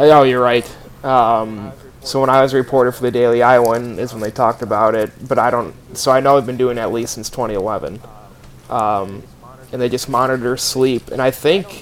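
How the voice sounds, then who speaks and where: Medium-pitched male speech at a moderate pace, fairly even in intonation, over noticeable background noise. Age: 20s. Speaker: podcast co-host, former student reporter. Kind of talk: casual chat.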